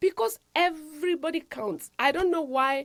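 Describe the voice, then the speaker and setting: An African accent on a very clean recording with a silent background. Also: woman. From Africa, rural village. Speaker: nurse practitioner and health show host. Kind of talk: motivational talk. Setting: studio.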